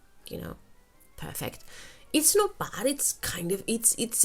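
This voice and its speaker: The speaker talks with a Spanish accent and very wide pitch swings. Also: woman. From Spain. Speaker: English teacher and YouTuber. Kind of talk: casual monologue of recommendations. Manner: halting, with frequent fillers and repetitions.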